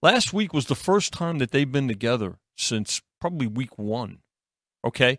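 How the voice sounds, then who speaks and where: A man's voice swings very widely in pitch, recorded dry and close with no echo on a very clean recording with a silent background. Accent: New York. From New York. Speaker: sports betting analyst. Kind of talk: casual sports betting talk. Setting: studio.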